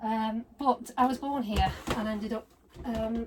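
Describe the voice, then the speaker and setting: Over noticeable background noise, a woman with a British accent speaks at a fairly high pitch. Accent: British (UK). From northwest England, Blackpool. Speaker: doll collector YouTuber. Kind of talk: casual unboxing vlog.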